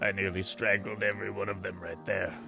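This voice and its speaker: A man puts on a character voice with clear music in the background. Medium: audio drama.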